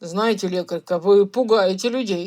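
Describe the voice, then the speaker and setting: A raspy woman in a put-on character voice, medium pitch, moderate pace. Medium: read story. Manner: loud, blustering.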